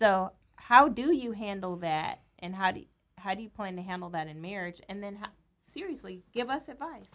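This woman has an American accent and an ordinary speaking voice. She speaks at medium pitch with lively intonation. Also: moderate pace. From Los Angeles, US West Coast. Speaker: minister and wife. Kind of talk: casual chat. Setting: studio.

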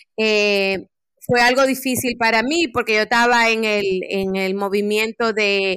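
A woman with a fairly high pitch, an ordinary speaking voice, a fairly slow pace and ordinary pitch variation, on a very clean recording with a silent background. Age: 40s. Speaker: life coach and community program strategist. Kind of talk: podcast interview.

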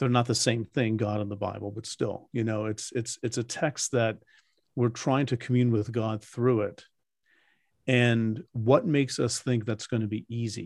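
Over a quiet background, a man with a plain, everyday voice talks at a moderate pace, his medium pitch carrying fairly even intonation. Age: 60s. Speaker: Bible scholar and podcast host. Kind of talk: interview. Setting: video call.

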